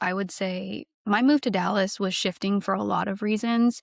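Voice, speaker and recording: An ordinary speaking voice from a woman with an American accent, medium in pitch and fairly even in intonation at a moderate pace. The recording is very clean, with a silent background and a dry, close sound with no echo. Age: 20s. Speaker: podcast guest. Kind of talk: casual interview chat.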